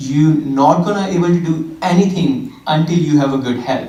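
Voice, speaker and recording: Delivered with fairly even intonation in an Indian accent, the speech has audible room echo and noticeable background noise. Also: man. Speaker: fitness trainer. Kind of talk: church talk.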